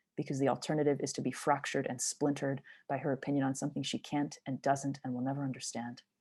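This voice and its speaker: With a Montreal accent, a woman speaks very fast in a very deep, low voice, with a dark, mellow tone and monotone, flat intonation over a quiet background. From Montreal, Canada. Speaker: poet. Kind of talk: spoken word performance.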